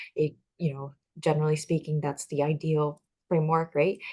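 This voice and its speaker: A woman with a Chinese accent talks at a fairly quick pace, her pitch very deep and low. Her voice is somewhat breathy, and the background is quiet. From Taiwan. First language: Mandarin Chinese. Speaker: talk show host. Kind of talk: casual interview chat. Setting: livestream.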